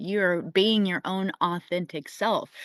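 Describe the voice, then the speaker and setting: With an ordinary speaking voice at a medium pitch, a woman talks at a fairly slow pace over a quiet background, the sound dry and close with no echo. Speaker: spiritual astrology forecaster. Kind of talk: weekly energy forecast talk. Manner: casual, conversational.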